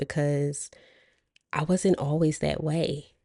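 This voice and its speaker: Very deep and low, a woman's voice has a dark, mellow tone and fairly even intonation. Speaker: former nurse, career coach vlogger. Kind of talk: casual monologue to camera.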